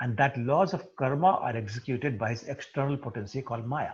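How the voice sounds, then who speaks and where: A man talks fairly quickly in a somewhat breathy voice. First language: not English. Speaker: spiritual teacher. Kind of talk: scripture study class.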